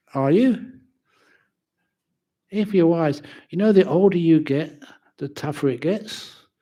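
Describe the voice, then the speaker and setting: With a London accent and a dark, mellow tone, a man speaks at a high pitch and a fairly slow pace, with lively intonation and long, frequent pauses, on a very clean recording with a silent background. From England, London. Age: 70s. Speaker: Buddhist monk and teacher. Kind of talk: dharma talk. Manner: casual, humorous.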